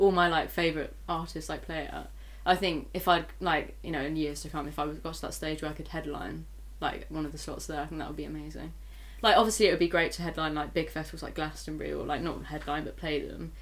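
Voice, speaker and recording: Speaking at a very fast pace with big swings in loudness, a woman is heard amid audible room echo. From Bristol, England. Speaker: singer-songwriter. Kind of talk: casual interview.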